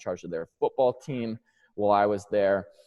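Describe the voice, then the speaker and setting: A man's fairly low voice, dry and close with no echo, at a fairly quick pace over a quiet background. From New York. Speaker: strength and conditioning coach. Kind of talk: presentation.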